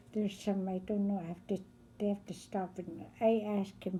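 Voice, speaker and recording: A somewhat breathy woman's voice of medium pitch, dark and mellow in tone, at a moderate pace. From northern Canada (Fort McPherson, NWT). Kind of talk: oral history interview. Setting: recorded interview on camera.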